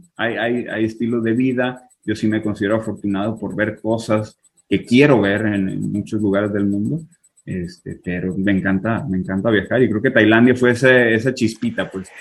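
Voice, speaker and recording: Speaking with a Sinaloan accent, a man keeps a moderate pace, a fairly low pitch and fairly even intonation. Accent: Sinaloa. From Mexico, Culiacán and Tijuana. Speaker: IT worker abroad. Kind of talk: casual interview.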